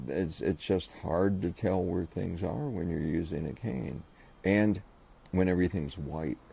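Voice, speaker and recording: A man's very deep, low voice with a dark, mellow tone and vocal fry, at a fairly slow pace. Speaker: blind resident using a cane. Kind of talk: interview testimony.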